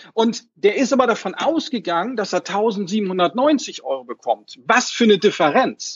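His pitch is high, and this man makes very wide pitch swings. He speaks at a fairly slow pace. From Hamburg, northern Germany. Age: 40s. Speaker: financial advisor, association chairman. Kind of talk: interview. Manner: hesitant, many fillers.

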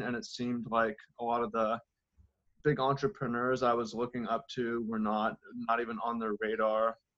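A man's medium-pitched voice, varying in an ordinary way, moves at a moderate pace. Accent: American. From US Pacific Northwest, Seattle. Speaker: organic farmer and author. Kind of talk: interview.

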